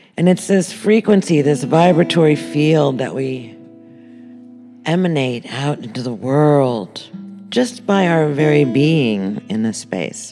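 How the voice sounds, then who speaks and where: A woman speaks in a calm, gentle tone with a very deep, low pitch, very slowly. Her pitch swings very widely over music in the background. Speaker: meditation guide. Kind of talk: guided meditation.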